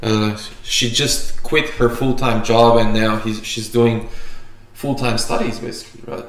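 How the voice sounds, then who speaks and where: A man talks at a fairly slow pace with monotone, flat intonation. There is audible room echo. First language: Macedonian or Slovenian. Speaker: barista and coffee YouTuber; video host. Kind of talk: casual livestream chat. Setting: livestream. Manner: halting, many fillers and restarts. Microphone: camera far.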